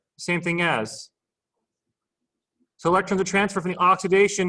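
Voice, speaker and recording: A man's raised, projected voice, high in pitch, with a bright, sharp tone. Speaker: chemistry tutor. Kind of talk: tutorial. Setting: video call.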